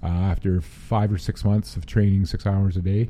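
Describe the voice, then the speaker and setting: Man with a Western Canadian accent, fairly low in pitch, with a dark, mellow tone. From Prince George, British Columbia, Canada. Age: 50s. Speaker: person living with Alzheimer's. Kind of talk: casual interview. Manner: halting.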